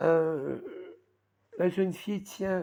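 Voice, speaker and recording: Fairly even intonation from a woman pitched fairly low. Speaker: crafts hobby vlogger. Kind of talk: casual show-and-tell vlog. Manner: hesitant, many fillers.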